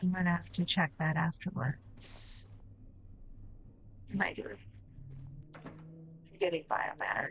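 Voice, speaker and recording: Someone mumbles at a very slow pace, leaving long, frequent pauses. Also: woman. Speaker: game streamer. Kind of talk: live stream gameplay commentary. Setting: live stream. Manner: mumbling.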